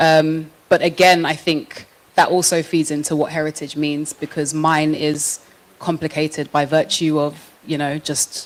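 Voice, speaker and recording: A woman with a very deep, low pitch talks at a moderate pace. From London, England. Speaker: panelist. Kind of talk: panel discussion. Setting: stage with audience.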